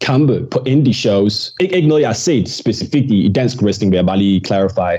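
A man's medium pitch shows ordinary pitch variation as he talks at a moderate pace. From Denmark, with childhood years in Birmingham, England. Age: 20s. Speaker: professional wrestler. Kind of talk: casual interview. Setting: studio. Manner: halting, many fillers and repetitions.

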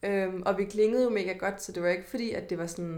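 Over a silent background in a very clean recording, a woman talks fairly quickly in an unremarkable speaking voice, at medium pitch with fairly even intonation. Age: 20s. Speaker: podcast host. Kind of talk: casual chat.

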